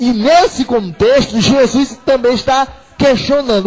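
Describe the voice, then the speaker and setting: A man speaks with music playing in the background. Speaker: preacher / radio evangelist. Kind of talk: sermon preached on a radio program. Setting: radio broadcast.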